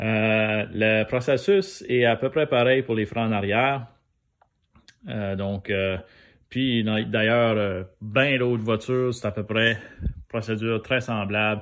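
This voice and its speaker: Long pauses come often in this very slow delivery. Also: man, medium pitch for a man, fairly even intonation. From New Brunswick, Canada (Acadian). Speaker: DIY car maintenance youtuber. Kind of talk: tutorial. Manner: hesitant, many fillers; casual.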